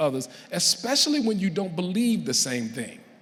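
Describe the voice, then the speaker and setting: A man talks at a fairly quick pace, his pitch moving in very wide swings. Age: 60s. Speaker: college professor, keynote speaker. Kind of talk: keynote speech.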